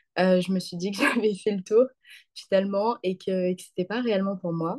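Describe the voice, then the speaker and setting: A woman with a medium pitch and a dark, mellow tone talks at a fairly quick pace with fairly even intonation and big swings in loudness, in a dry, close sound with no echo. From southern France (Occitanie, near Montpellier). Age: 20s. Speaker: student. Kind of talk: interview. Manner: hesitant, many fillers.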